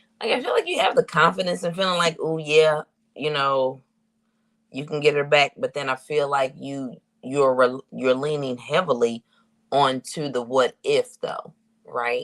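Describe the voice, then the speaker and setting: A man speaks at a fairly high pitch in an unremarkable speaking voice. His pace is moderate, his pitch variation ordinary, and the sound dry and close with no echo. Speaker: tarot reader livestream host. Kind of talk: tarot reading livestream.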